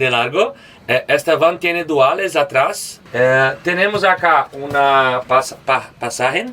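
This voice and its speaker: A man with a Portuguese accent speaks at a very slow pace in a fairly high pitch and a bright, sharp tone, with ordinary pitch variation and very even loudness. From Brazil, Belo Horizonte. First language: Portuguese (speaking Spanish). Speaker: van traveler. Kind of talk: van tour. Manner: halting.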